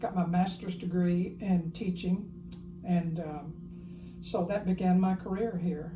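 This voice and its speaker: In a Tennessee accent, a woman with a fairly low pitch speaks fairly slowly in a monotone, flat intonation, with audible room echo. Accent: Southern US (Tennessee). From rural Tennessee, US South. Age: 80s+. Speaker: retired university professor. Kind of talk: interview.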